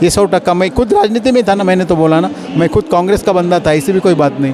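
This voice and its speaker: Noticeable background noise accompanies a man with a high pitch and ordinary pitch variation. His loudness stays very even. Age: 60s. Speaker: local politician interviewed in street poll. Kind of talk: street interview. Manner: animated.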